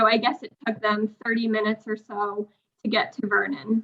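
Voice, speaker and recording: This woman speaks in a New England accent. Her pitch is fairly high. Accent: New England American. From Connecticut, US. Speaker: parent. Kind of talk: public comment at a town meeting. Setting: town commission meeting.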